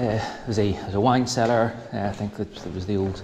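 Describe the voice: The voice moves at a moderate pace, with little pitch movement and a slightly mellow tone. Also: man.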